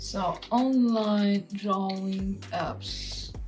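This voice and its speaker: With music in the background, a woman speaks in a strong Italian accent. Her pitch is medium, with ordinary pitch variation. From Italy. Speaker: cartographer and illustrator. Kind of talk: tutorial. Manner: animated.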